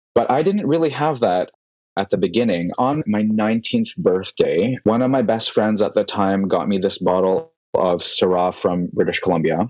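A man with a Canadian accent and a plain, everyday voice speaks at a moderate pace in a medium pitch, with lively intonation and very even loudness. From Vancouver, Canada. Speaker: sommelier and wine content creator. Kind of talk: interview conversation.

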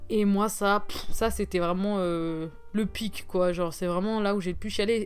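Here is an ordinary speaking voice from a woman at a medium pitch. She talks at a fairly slow pace. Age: 20s. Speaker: podcast host. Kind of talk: casual monologue.

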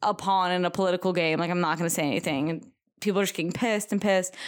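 A woman's normal speaking voice at medium pitch, with fairly even intonation, in a very clean recording over a silent background. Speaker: podcast co-host. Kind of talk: casual chat.

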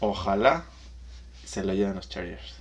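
A man with a Mexican accent speaks at a moderate pace in a fairly low pitch with vocal fry. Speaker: podcast co-host, accountant. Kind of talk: casual chat.

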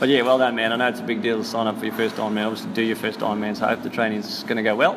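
A man talks very fast with an Australian accent and fairly even intonation. Background noise is noticeable. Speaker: podcast host. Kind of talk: casual chat.

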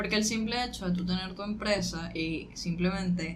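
Fairly low in pitch and somewhat breathy, a woman talks at a fairly slow pace. Audible room echo surrounds her voice. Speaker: podcast co-host. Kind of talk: casual chat.

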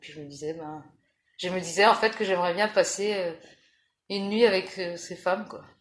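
Moderate pace and fairly low pitch from a woman speaking. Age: 40s. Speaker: interviewee. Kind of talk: personal testimony interview. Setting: at her home. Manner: halting.

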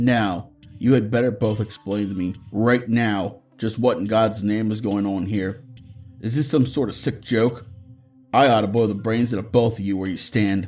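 Over faint background music, a man puts on a raspy character voice at medium pitch, talking at a moderate pace. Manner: angry.

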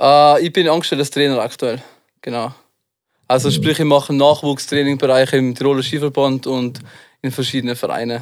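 In a Tyrolean accent, a man with a fairly high pitch speaks at a fairly quick pace with monotone, flat intonation and long, frequent pauses. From Tyrol, Austria. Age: 20s. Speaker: freestyle skier and rapper. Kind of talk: casual chat.

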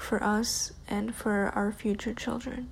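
A woman speaks at a medium pitch in a flat, monotone delivery, her tone dark and mellow and somewhat breathy. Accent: American. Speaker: listener sharing personal story. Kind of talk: prepared personal essay read aloud.

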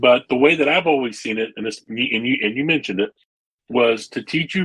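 Using a plain, everyday voice, a man talks moderately fast, his pitch varying in an ordinary way. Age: 40s. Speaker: church music director. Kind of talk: casual chat.

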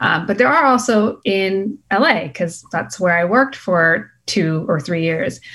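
A woman with an American accent and a medium pitch speaks at a fairly slow pace with hardly any pauses and very wide pitch swings, in a very clean recording with a silent background. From Boston, US. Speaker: entrepreneur, clothing brand founder. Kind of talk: interview.

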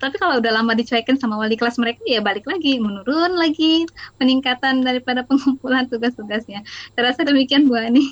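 A woman talks at a very fast pace with a high pitch. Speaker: junior high math teacher. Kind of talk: panel discussion.

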